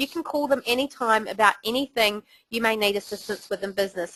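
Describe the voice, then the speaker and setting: Speaking at a fairly quick pace with a New Zealand accent, a woman has a fairly high pitch and ordinary pitch variation in a dry, close sound with no echo. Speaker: webinar host. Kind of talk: webinar presentation. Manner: casual.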